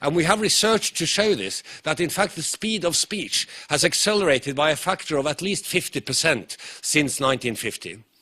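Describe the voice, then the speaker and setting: A man speaks with a Norwegian accent at a high pitch. His tone is bright and sharp, and his intonation is lively. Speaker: professor. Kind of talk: conference lecture. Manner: fast.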